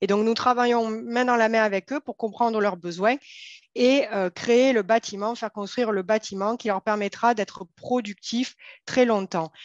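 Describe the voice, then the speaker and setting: Fairly slow speech in a southern French accent, fairly even in intonation, dry and close with no echo, over a quiet background. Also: woman, fairly high pitch for a woman. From southern France. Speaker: company co-founder and CEO. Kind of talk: interview. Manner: formal.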